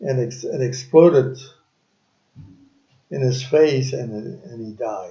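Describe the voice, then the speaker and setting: A man speaks at a very slow pace with long, frequent pauses, at medium pitch in a dark, mellow, somewhat breathy tone. His loudness swings widely, and the room echo is audible. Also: ordinary pitch variation. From France. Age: 80s+. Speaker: retiree interviewed by his son. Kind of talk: family interview. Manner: halting.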